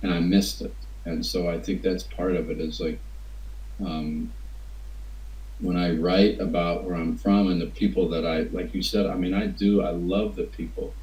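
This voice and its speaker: Speaking with an American accent and long, frequent pauses, a man is heard with audible room echo. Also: moderate pace. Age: 60s. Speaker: writer. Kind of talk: interview. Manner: halting.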